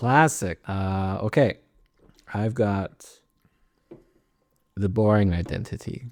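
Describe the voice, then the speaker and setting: Very slowly and with long, frequent pauses, a man speaks in a fairly low pitch with ordinary pitch variation. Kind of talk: casual chat. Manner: laughs loudly.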